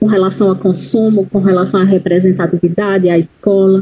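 Somewhat breathy, medium-pitched speech from a woman at a moderate pace. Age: 40s. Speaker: educator and psychology student. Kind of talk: interview.

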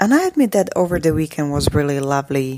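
A woman with a Slovak accent is heard in a dry, close sound with no echo. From Slovakia. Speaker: podcaster. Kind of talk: casual monologue.

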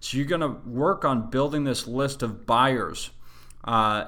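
A man with a Western US accent, a bright, sharp tone and fairly even intonation, at a moderate pace. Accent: American (Western US). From Utah, US. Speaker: real estate investing show host. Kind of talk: monthly educational monologue. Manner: casual, frequent filler words.

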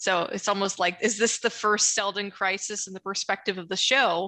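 Bright and sharp in tone, a woman with an American accent speaks at medium pitch and a moderate pace. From US Midwest. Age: 20s. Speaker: scientist and Asimov fan. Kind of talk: casual chat.

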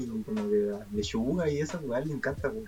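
Over noticeable background noise, a man with a Chilean accent talks at a fairly quick pace with ordinary pitch variation. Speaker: podcast host. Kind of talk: casual chat.

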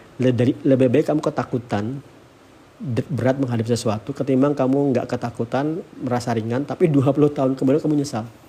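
A man speaks at a very fast pace in a medium pitch, with a dark, mellow tone. His intonation stays fairly even and he sounds somewhat breathy. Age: 40s. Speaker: tech founder and podcaster. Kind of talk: solo monologue podcast. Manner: casual, filler-heavy.

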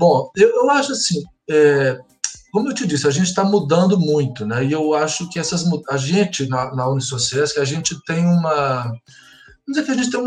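With music in the background, a man at a fairly high pitch talks at a moderate pace, his pitch swinging very widely. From Minas Gerais, Brazil (Belo Horizonte). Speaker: school pedagogical coordinator and psychologist. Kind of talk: interview.

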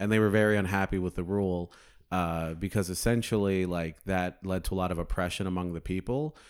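A man speaks at a fairly quick pace with an American accent, his pitch very deep and low and his intonation fairly even. The recording is very clean, with a silent background. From Phoenix, Arizona. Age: 20s. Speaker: comedian. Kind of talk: casual chat.

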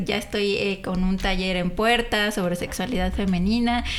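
With a Mexican accent and fairly even intonation, a woman speaks amid audible room echo. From Mexico, San Juan. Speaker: career advisor. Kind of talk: casual chat.

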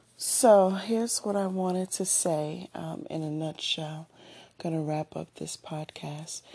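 Her pitch is fairly low and her tone dark and mellow, with ordinary variation. The woman speaks at a fairly slow pace over a quiet background. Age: 40s. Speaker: podcast host. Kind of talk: casual monologue. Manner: conversational with fillers.

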